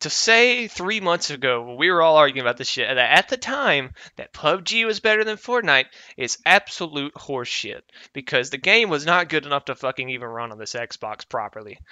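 With very wide pitch swings and big changes in loudness, a man speaks at a moderate pace in a fairly high pitch. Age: 20s. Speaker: podcast co-host. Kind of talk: casual chat.

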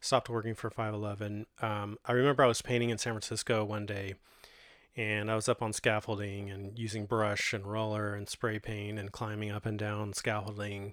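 In a Californian accent, the speaker keeps a relaxed tone and monotone, flat intonation on a very clean recording with a silent background. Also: man. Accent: Californian American English. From Modesto, California (Central Valley, US West Coast). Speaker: podcast host and graffiti muralist. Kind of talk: solo autobiographical monologue, casual personal storytelling to listeners. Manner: halting and filler-heavy, frequent ums, uhs and self-restarts; relaxed, conversational and unhurried.

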